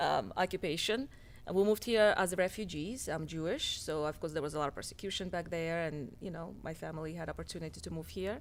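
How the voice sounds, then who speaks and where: A woman with a Russian accent talks at a very fast pace, her fairly low voice showing vocal fry and ordinary pitch variation. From Russia, near Moscow. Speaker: doctor and healthcare business owner. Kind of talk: interview.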